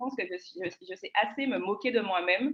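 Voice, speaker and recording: A woman talks with lively intonation in a fairly high voice. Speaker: public speaking panelist. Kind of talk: panel discussion. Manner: choppy delivery.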